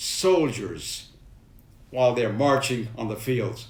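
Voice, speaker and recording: With a New York accent, a man talks at a very slow pace with very wide pitch swings, heard through audible room echo. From New York City (Manhattan, Brooklyn). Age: 90s. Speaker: war veteran. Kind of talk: personal storytelling to camera.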